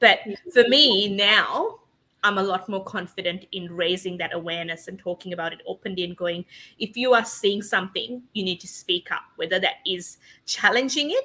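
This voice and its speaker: Bright and sharp in tone, a woman at medium pitch talks at a moderate pace with ordinary pitch variation and big swings in loudness. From Sri Lanka. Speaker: book publisher and business owner. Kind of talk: interview. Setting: live online recording.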